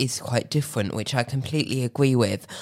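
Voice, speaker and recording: In a southern English accent, a woman speaks at a very deep, low pitch with ordinary pitch variation. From Tunbridge Wells, Kent, England. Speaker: podcast host. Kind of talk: interview.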